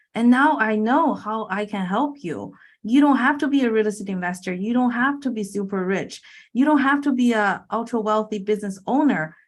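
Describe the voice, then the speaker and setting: A woman with a Chinese accent, fairly high pitch, ordinary pitch variation and a moderate pace, on a very clean recording with a silent background. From China. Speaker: infinite banking coach and real estate investor. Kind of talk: podcast interview.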